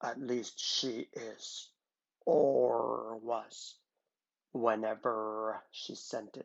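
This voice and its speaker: In a put-on character voice, a man growls out gruff words at a medium pitch and a very slow pace. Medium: read story. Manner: gruff, terse.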